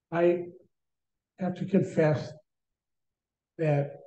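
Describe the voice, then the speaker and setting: The man's voice has a dark, mellow tone, is somewhat breathy, and keeps fairly even intonation. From North Dakota. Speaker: nature photographer. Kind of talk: presentation. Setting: video call.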